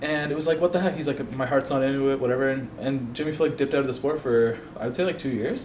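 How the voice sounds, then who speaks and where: A man's fairly high voice at a very fast pace, hardly any pauses, fairly even intonation, audible room echo and noticeable background noise. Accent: Canadian. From Canada, Toronto Ontario. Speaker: MMA predictions youtuber. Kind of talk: casual predictions vlog. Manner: casual, hesitant with many fillers.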